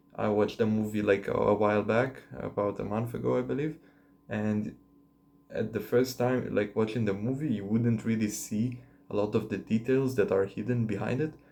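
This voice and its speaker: This voice has a dark, mellow tone and a non-native accent. It moves at a moderate pace with ordinary pitch variation. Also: man. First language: not English. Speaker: vlogger. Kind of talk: casual monologue to camera. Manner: hesitant, many fillers.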